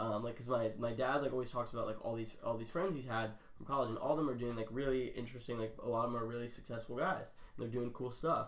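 The speech moves at a very fast pace. Its intonation stays fairly even. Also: man. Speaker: podcast host. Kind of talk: casual chat. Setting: in-person video recording. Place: home room. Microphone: camera far.

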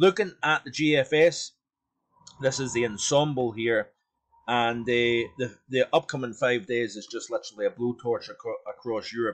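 A man's normal speaking voice at a medium pitch, with ordinary pitch variation and big swings in loudness, in a dry, close sound with no echo. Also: moderate pace. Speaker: weather forecaster. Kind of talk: weather report, explanatory forecast commentary over charts. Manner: measured, conversational, explanatory with hedging fillers.

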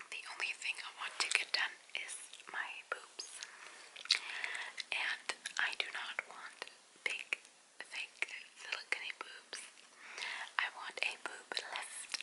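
Whispering and soft-spoken, a woman talks at a very slow pace with long, frequent pauses. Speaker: vlogger. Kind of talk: casual vlog chat. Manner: soft close whisper while chewing gum. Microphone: phone near.

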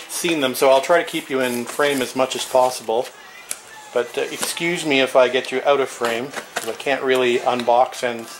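Noticeable background noise runs through the clip. Over it, a man talks with fairly even intonation. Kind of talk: casual vlog chat. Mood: relaxed after work. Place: garage. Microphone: camera far.

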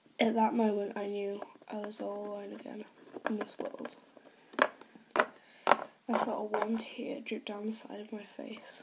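Moderate pace over loud background noise. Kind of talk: acted dialogue and story narration. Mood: sad, emotional.

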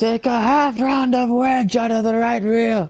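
In a put-on character voice with a Scottish accent, the speaker talks at a fairly high pitch. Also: moderate pace.

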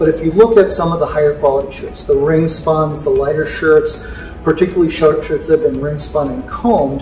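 Faint music plays in the background as a man speaks amid audible room echo. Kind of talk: interview answer. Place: hall.

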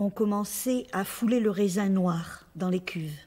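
The woman speaks at a very slow pace. Her pitch varies in an ordinary way. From Algeria (pied-noir). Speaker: actress interviewee. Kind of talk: interview answer. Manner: hesitant, many fillers. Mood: calm, friendly, smiling. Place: home room.

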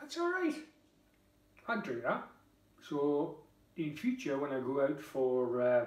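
A man with a Geordie accent speaks at a very slow pace and fairly high pitch, with ordinary pitch variation and long, frequent pauses. Audible room echo surrounds his voice. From northern England, Tyneside; northern England. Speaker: beer reviewer vlogger. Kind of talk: casual product review. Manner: chatty, informal. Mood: relaxed, jovial. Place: kitchen. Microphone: camera far.

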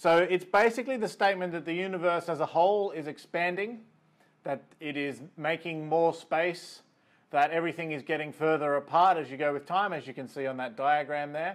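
Pitched fairly high, a man speaks with an Australian accent and ordinary pitch variation. His pace is fairly quick, and the background is quiet. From rural New South Wales, Australia. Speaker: astrophysicist. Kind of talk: lecture. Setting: video call. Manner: hesitant with fillers.

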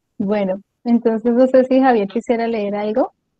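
A woman's fairly high voice at a moderate pace, with fairly even intonation and a dry, close sound with no echo.

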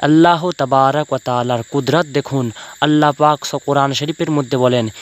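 Recorded with a dry, close sound and no echo, a man uses a normal speaking voice at medium pitch with fairly even intonation. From West Bengal, Paschim Medinipur. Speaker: Islamic preacher and poet. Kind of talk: religious sermon-style address to viewers.

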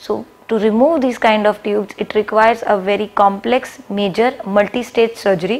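The woman's delivery moves at a moderate pace. Her intonation stays fairly even. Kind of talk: medical explainer to camera. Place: office. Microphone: lapel.

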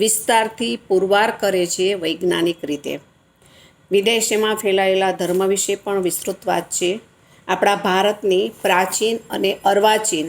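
A woman speaks at a medium pitch with fairly even intonation. It is a plain, everyday voice. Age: 60s. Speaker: retired teacher. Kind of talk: book review.

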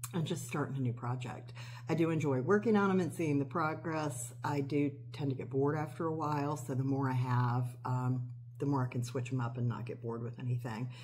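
Light background noise sits behind a woman whose very deep, low pitch shows ordinary variation as she talks at a fairly quick pace. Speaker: cross-stitch hobby vlogger. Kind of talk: casual vlog chat. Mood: relaxed, chatty. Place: kitchen. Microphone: phone near.

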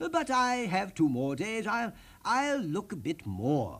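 A man does a put-on character voice, speaking slowly in a high pitch with a slightly husky edge and very wide pitch swings.

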